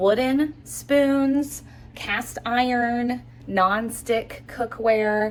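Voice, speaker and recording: Her voice, a woman's, is pitched fairly high. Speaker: frugal living vlogger. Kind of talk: casual vlog tutorial. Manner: quiet.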